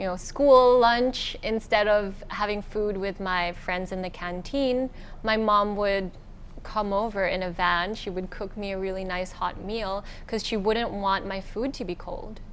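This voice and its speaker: Audible room echo surrounds a woman of medium pitch who speaks fairly slowly with fairly even intonation. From Singapore, early childhood in the Philippines. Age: 20s. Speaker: beauty pageant winner. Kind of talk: interview. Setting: hotel with a view.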